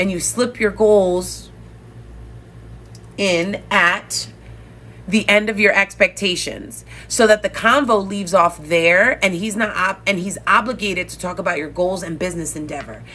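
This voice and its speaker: A woman talks at a moderate pace and medium pitch with ordinary pitch variation. Her voice has vocal fry. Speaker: dating coach. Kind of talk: live stream coaching talk. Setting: live stream.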